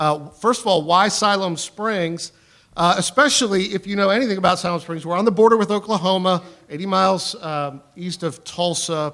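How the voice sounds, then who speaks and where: Loud and high-pitched, a man speaks at a moderate pace in a bright, sharp tone with ordinary pitch variation. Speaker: pastor. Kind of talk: church talk.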